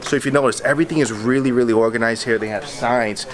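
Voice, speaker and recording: An energetic man's voice over music in the background. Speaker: police officer vlogger. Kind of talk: vlog walkthrough. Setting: emergency operations center. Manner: casual, energetic; lowered voice.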